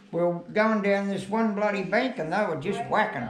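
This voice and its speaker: A man with a strong Australian accent speaks at a high pitch and a fairly slow pace, with ordinary pitch variation. Room echo is audible, and background noise is noticeable. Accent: broad Australian. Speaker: retired fisherman. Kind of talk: casual chat. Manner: halting.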